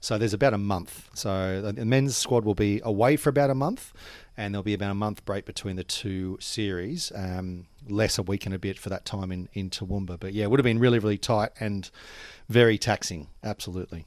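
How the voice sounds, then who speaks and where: A man with an Australian accent speaks fairly quickly at a fairly low pitch with ordinary pitch variation, on a very clean recording with a silent background. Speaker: cricket administrator. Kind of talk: casual chat. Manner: fast.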